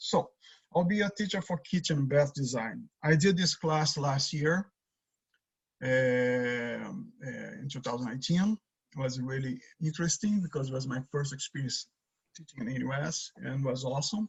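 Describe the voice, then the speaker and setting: This speaker has a Brazilian accent and a somewhat breathy voice. The pace is moderate, with ordinary pitch variation. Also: man, fairly high pitch for a man. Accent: Brazilian Portuguese accent, noticeable. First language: Portuguese. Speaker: design teacher. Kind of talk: lecture. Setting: video call. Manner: halting.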